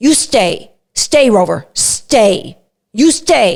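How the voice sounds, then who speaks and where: A woman's put-on character voice at a very slow pace. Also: fairly high pitch for a woman. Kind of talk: stern command. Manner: harsh, staccato, clipped.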